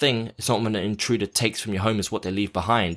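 A man speaks with an English accent at a fairly low pitch. The recording is very clean, with a silent background. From London, England. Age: 20s. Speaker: actor and abuse survivor speaker. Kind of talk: interview testimony.

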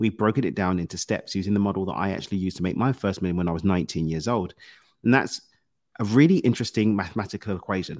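In a British accent, a man with a fairly low pitch speaks at a very fast pace. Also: ordinary pitch variation. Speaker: success coach. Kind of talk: casual interview.

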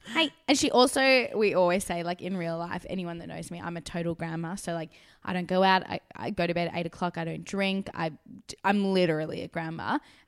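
A woman with an Australian accent, fairly low in pitch, at a fairly quick pace, with ordinary pitch variation, big swings in loudness and a very clean recording with a silent background. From South Africa. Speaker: actress. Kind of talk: casual interview. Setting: studio in a spare room.

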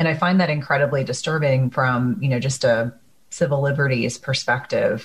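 Speaking at a moderate pace with an American accent, a woman has a very deep, low pitch, a somewhat breathy quality, ordinary pitch variation and very even loudness. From US Northeast (New Jersey). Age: 40s. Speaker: podcast host, nurse practitioner. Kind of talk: interview podcast.

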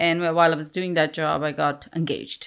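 A woman speaks with an Indian accent in a very deep, low pitch. The recording is very clean, with a silent background. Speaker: business owner. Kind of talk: interview.

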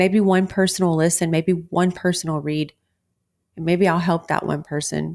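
On a very clean recording with a silent background, a woman with a Texan accent speaks at a fairly low pitch and a moderate pace in a monotone, flat intonation. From Texas. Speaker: wellness podcast host. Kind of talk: motivational monologue.

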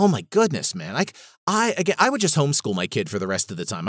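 A man with an American accent speaks at a very fast pace with very wide pitch swings. The recording is very clean, with a silent background and a dry, close sound with no echo. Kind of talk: angry rant. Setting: solo podcast recording. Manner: fired up, indignant, emphatic; rambling, passionate, frustrated.

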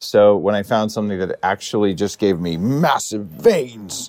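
A man's raspy, put-on character voice, fairly low in pitch, playful in tone, at a moderate pace. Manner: pretend, playful.

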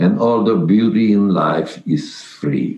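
A man speaks at a very slow pace. His voice has vocal fry. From Carpathian Ruthenia (Czechoslovakia/Hungary). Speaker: Holocaust survivor. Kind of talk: testimony. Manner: halting.

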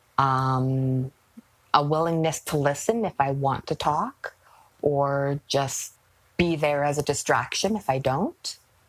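A woman's very deep, low voice, with ordinary pitch variation, at a very slow pace. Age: 40s. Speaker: guest sharing experience of depression. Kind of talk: interview testimony.

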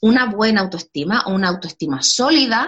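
At a medium pitch, a woman speaks at a moderate pace with very wide pitch swings. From Chile. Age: 30s. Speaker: educator and self-esteem course creator. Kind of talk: interview.

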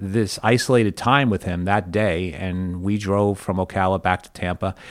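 The recording is very clean and the background silent. A normal speaking voice moves at a moderate speed, with ordinary pitch variation. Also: man. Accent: American. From New York. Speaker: baseball team executive. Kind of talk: interview. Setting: studio.

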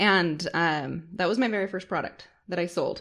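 The speaker is a woman with an ordinary speaking voice. She talks at a medium pitch and a moderate pace. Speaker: entrepreneur and public speaker. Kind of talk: interview, personal story.

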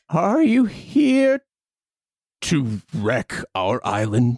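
The speaker uses a put-on character voice at a middle pitch. Delivery is very slow, with very wide pitch swings.

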